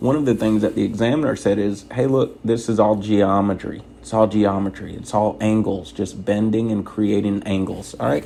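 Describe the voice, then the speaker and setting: A soft-spoken man talks at a moderate pace with fairly even intonation and hardly any pauses. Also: fairly low pitch for a man. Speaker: truck driver trainer. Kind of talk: tutorial. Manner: soft-spoken, quiet inside voice.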